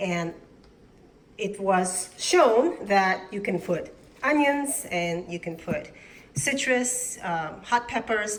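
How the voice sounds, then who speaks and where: A woman speaks at a very slow pace with lively intonation. Noticeable background noise is audible. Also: medium pitch for a woman. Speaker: worm farmer. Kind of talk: casual talk to camera.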